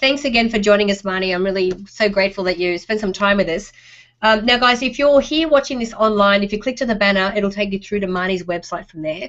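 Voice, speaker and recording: A woman's medium-pitched voice at a very fast pace. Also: ordinary pitch variation. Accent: Australian. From Australia. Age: middle-aged. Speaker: online show host. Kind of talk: interview.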